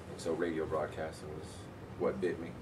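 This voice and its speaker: A man with a very deep, low pitch at a very fast pace, amid noticeable background noise and audible room echo. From Cambridge, Massachusetts (born in Jamaica, left at six). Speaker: radio broadcaster and college media staff. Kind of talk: interview.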